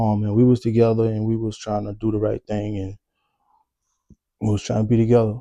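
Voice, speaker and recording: Fairly low in pitch, this man has a dark, mellow tone. He talks at a fairly quick pace with monotone, flat intonation. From New Orleans, Louisiana. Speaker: vlogger telling life story. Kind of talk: personal storytelling monologue. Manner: casual, halting with fillers.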